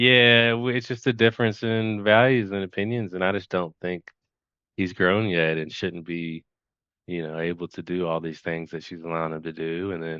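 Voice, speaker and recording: Speaking with a Kentucky accent, a man talks at a moderate pace at a very deep, low pitch with ordinary pitch variation. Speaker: hypnotherapy client. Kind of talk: casual chat. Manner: halting.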